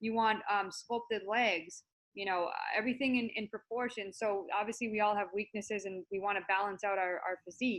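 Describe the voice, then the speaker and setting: A woman's normal speaking voice at a medium pitch and fairly quick pace, with fairly even intonation. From US Northeast, Massachusetts. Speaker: natural bodybuilder and personal development coach. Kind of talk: interview.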